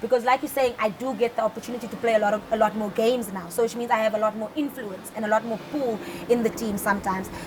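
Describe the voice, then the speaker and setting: A woman's fairly high, very fast voice with fairly even intonation and hardly any pauses, over noticeable background noise. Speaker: footballer. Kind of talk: interview. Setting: studio.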